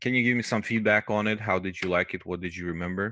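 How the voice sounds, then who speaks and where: This man has a non-native accent, a fairly low pitch and a bright, sharp tone with ordinary pitch variation. The background is quiet and the sound is dry with no echo. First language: not English. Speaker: QA teacher; course instructor. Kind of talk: lecture; casual online class talk. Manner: hesitant, many fillers. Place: home room. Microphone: headset.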